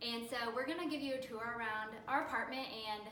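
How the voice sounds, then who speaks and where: In an American accent, a woman speaks at a moderate pace in a room with audible echo and noticeable background noise. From Southern California, San Diego. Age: 20s. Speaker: social media manager, dating show applicant. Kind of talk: casting audition video, casual self-introduction. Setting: home apartment, filmed by roommate.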